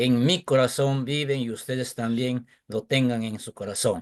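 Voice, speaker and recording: A man speaks with an Andean accent at a fairly slow pace. His pitch is medium, with ordinary variation. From Peru, San Martín region. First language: Quechua (speaking Spanish). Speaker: teacher. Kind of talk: audience question in webinar.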